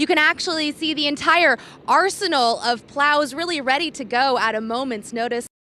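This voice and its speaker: Raising and projecting her voice, a woman speaks high in pitch with a bright, sharp tone. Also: ordinary pitch variation, moderate pace. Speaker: TV news reporter and anchor. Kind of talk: TV news live stand-up report.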